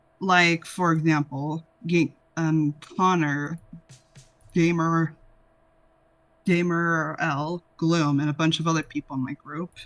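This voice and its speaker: Over music in the background, a man speaks at a fairly high pitch in a monotone, flat intonation, at a very slow pace with long, frequent pauses. The sound is dry and close, with no echo. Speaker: voice actor. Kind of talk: casual chat. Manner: halting.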